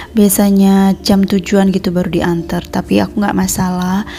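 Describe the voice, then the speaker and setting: A woman speaks at a medium pitch in a monotone, flat intonation. Noticeable background noise runs under her voice. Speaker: homemaker vlogger. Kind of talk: voice-over narration. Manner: casual, chatty.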